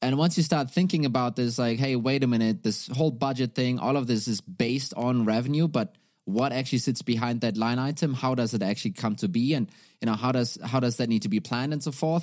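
A man with a German accent, very fast, at medium pitch with ordinary pitch variation, very even loudness, and a quiet background. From Germany. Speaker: startup CEO, former revenue executive. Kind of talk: podcast interview.

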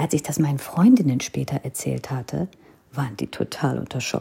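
With an Indian accent, a woman speaks at a moderate pace in a very deep, low voice. Her tone is dark and mellow, with vocal fry. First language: Hindi (speaking German). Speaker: podcaster. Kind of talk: personal storytelling.

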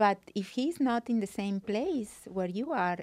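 Pitch variation is ordinary. The voice belongs to a woman. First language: not English. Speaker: dating and relationship coach. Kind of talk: interview. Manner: halting.

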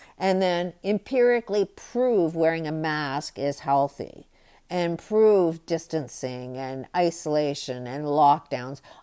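With a very deep, low pitch and a dark, mellow tone, a woman speaks very slowly with lively intonation on a very clean recording with a silent background. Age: 60s. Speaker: podcast host. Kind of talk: solo monologue commentary.

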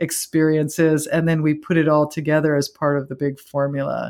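In a very clean recording with a silent background, a woman speaks at a moderate pace with a very deep, low pitch. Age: 50s. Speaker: spiritual teacher. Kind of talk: interview.

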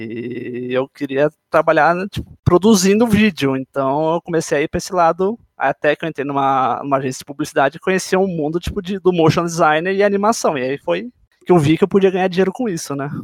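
This is an unremarkable speaking voice: a man talking at a fairly quick pace with hardly any pauses and ordinary pitch variation, in a dry, close sound with no echo. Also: fairly high pitch for a man. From Brazil, São Paulo. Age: 20s. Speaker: motion designer. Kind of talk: casual chat.

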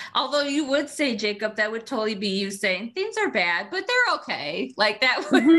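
With an animated tone and very wide pitch swings, the speaker talks at a moderate pace with hardly any pauses over noticeable background noise. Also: woman, fairly high pitch for a woman. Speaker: podcast host. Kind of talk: casual chat.

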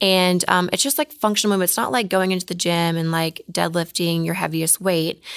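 A woman with a normal speaking voice and a fairly low pitch talks at a fairly quick pace. Her pitch variation is ordinary, and she hardly pauses. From Oklahoma. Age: 30s. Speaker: fitness model. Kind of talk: casual chat.

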